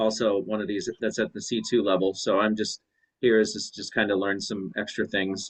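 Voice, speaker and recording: A man with a Midwestern American accent talks at a moderate pace and a fairly low pitch. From US Midwest, St. Louis. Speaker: student, middle school teacher. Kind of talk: self-introduction in online class.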